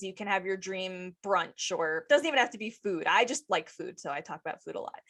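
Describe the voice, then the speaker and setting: A woman's energetic voice at a moderate pace, with very wide pitch swings. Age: 40s. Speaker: podcast host. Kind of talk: casual chat. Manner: loud; energetic, excitable.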